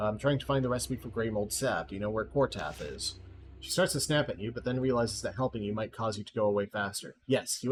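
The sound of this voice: An unforced reading voice, pitch shifting in a normal way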